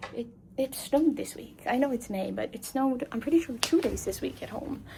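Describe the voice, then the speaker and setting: A woman's high voice at a fairly quick pace, with ordinary pitch variation, big swings in loudness and noticeable background noise. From Labrador, Canada. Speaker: travel vlogger. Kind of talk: casual vlog chat. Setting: hotel room and walking around city. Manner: chatty, rambling.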